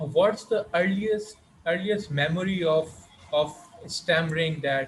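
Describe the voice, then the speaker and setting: The man's pitch is high. He speaks at a very slow pace. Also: ordinary pitch variation. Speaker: panel moderator. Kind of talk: panel discussion. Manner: stammer.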